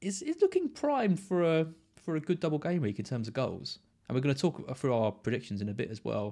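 A man's fairly high voice at a fairly quick pace, with very wide pitch swings, on a very clean recording with a silent background. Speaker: fantasy football podcast host. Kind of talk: casual chat. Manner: fast.

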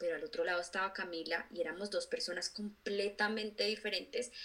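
Bright and sharp in tone, a woman talks at a fairly quick pace and medium pitch with fairly even intonation. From Colombia. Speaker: influencer and author. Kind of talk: interview.

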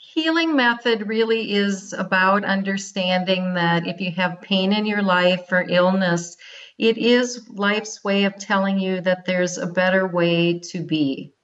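Speaking at a medium pitch and a fairly slow pace, a woman shows ordinary pitch variation and hardly any pauses. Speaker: wellness and movement coach. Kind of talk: interview with guided relaxation. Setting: phone or remote line. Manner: calm.

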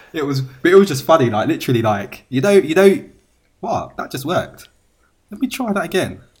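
Man with a British accent, animated tone, very wide pitch swings, a somewhat breathy quality, and a moderate pace. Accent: British accent, noticed abroad. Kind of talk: casual chat.

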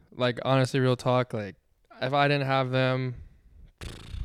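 A man with an ordinary speaking voice talks at a fairly quick pace and medium pitch. The recording is very clean, with a silent background. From Washington D.C. area. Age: 20s. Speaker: professional tennis player. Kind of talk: casual interview. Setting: live on location at a tennis club.

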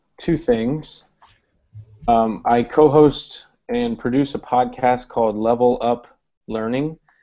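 A man with a medium-pitched voice speaks at a very slow pace, with fairly even intonation and long, frequent pauses. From Ohio. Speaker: teacher and podcast co-host. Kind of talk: casual chat.

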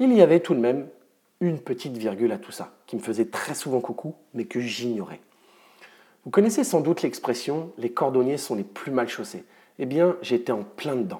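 A dark, mellow tone with lively intonation, big swings in loudness, a moderate pace and long, frequent pauses. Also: man, fairly high pitch for a man. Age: 30s. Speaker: mental performance coach. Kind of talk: scripted narration.

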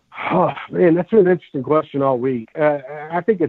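A man speaks with a Southern US accent. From US South, Mobile, Alabama. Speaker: sports radio host, guest analyst. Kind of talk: casual interview.

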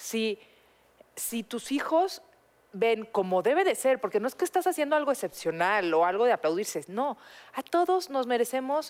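Her pace fairly slow, a woman speaks with very wide pitch swings. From Mexico. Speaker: podcast co-host. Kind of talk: casual chat.

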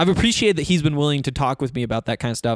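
Very fast and fairly high-pitched, a man with an American accent talks with ordinary pitch variation in a very clean recording with a silent background and a dry, close sound with no echo. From Northwest Montana. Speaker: sports podcast host. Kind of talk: casual solo podcast talk. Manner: halting, many fillers and false starts.

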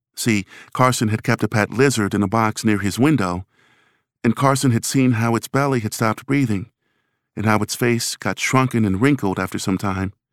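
A man speaks at a moderate pace in a normal speaking voice, medium in pitch with ordinary pitch variation, recorded dry and close with no echo. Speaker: story narrator. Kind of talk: scripted story narration, news report then ghost story.

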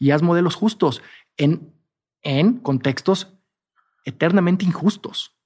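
On a very clean recording with a silent background, a high-pitched man with a Mexican accent talks at a very slow pace with lively intonation and long, frequent pauses. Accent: Mexican Spanish (Jalisco). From Mexico, Guadalajara (Jalisco). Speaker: entrepreneur, hospitality business founder. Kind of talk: casual interview chat.

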